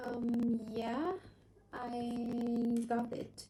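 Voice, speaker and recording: High-pitched woman's voice with a non-native accent. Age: 20s. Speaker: English learner. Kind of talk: casual chat. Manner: halting.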